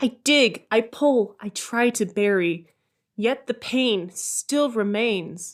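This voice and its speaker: Recorded very cleanly against a silent background, a woman speaks with lively intonation. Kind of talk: slam poetry.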